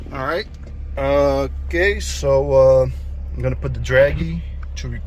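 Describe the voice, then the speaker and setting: The pace is fairly slow. Noticeable background noise runs under the voice. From Brazil. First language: Portuguese. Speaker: car tuner and video creator. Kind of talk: casual vlog. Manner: halting, many fillers.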